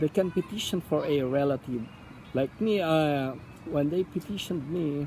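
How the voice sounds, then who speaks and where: The speaker has a Filipino accent and talks at a fairly slow pace. Background noise is noticeable. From Philippines (Palawan). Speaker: immigrant interviewee. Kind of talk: interview. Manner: halting, many fillers.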